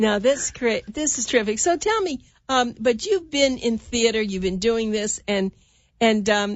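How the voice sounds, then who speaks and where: A woman talks in a normal speaking voice at a fairly slow pace. Her pitch is fairly high, with ordinary pitch variation. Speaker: radio show host. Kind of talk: radio interview.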